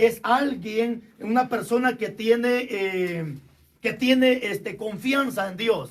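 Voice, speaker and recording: With fairly even intonation, a man speaks at an extremely high pitch. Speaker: pastor. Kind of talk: sermon.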